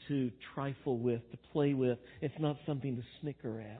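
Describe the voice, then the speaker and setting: A man's normal speaking voice, fairly high in pitch for a man, with ordinary pitch variation and a moderate pace. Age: 60s. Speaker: pastor. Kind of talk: sermon. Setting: church.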